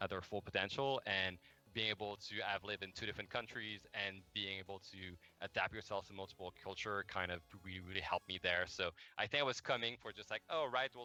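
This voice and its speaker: A man with a very deep, low pitch and a Quebec accent, at a fairly quick pace, dry and close with no echo, music in the background. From Quebec, Montreal. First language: French. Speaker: game development manager. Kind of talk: interview. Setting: livestream. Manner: hesitant, many fillers.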